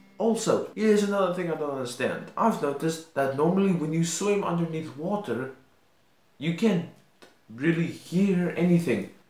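The speech has a moderate pace and audible room echo. Faint music plays in the background. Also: man. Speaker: video creator. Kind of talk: casual vlog commentary. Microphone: webcam.

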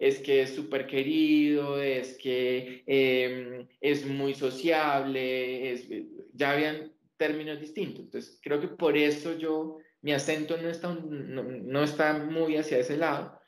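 This man's fairly high voice moves little in pitch as he talks at a slow pace, with audible room echo around him.

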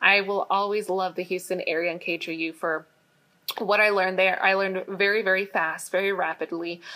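With an American accent, a woman speaks at a moderate pace in a bright, sharp tone, her intonation monotone and flat. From Phoenix, Arizona; Arizona. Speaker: TV meteorologist; guest. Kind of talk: presentation talk. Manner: casual, many fillers. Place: office. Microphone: webcam.

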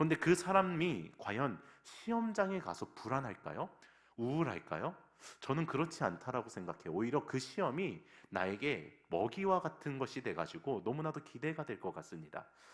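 With vocal fry and a fairly high pitch, a man speaks at a moderate pace while his pitch swings very widely. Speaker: pastor. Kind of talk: sermon. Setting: church.

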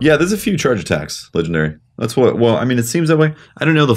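His pitch swinging very widely, a man rattles off his words at a very fast pace. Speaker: game streamer. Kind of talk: casual gameplay commentary. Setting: playing an online game. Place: home room.

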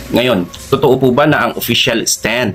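Fairly even in intonation, a man talks at a moderate pace amid noticeable background noise. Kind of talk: religious teaching, answering a question. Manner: formal.

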